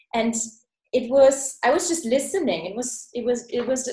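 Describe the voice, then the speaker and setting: Her pitch high and its variation ordinary, a woman speaks with a German accent. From Germany. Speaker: podcast host. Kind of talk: interview. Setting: video call.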